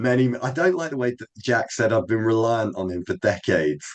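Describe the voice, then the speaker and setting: Using a plain, everyday voice, a man talks with lively intonation at a moderate pace. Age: 40s. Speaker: guest speaker. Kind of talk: group discussion. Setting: video call.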